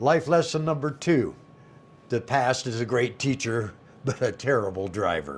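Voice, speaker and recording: A man speaks at a medium pitch with vocal fry. His pace is moderate and his intonation lively. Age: 60s. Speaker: retirement lifestyle YouTuber. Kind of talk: casual talk to camera. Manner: folksy, humorous.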